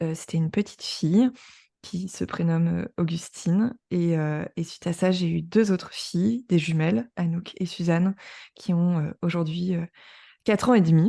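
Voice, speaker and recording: At a moderate pace, a woman speaks with a fairly low pitch, a dark, mellow tone and ordinary pitch variation against a quiet background. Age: 30s. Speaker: journalist and podcaster. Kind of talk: interview testimony.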